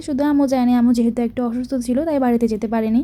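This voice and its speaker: Her high-pitched voice has a dark, mellow tone, and the woman keeps her intonation monotone and flat. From Bangladesh. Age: young. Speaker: vlogger. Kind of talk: vlog voice-over narration.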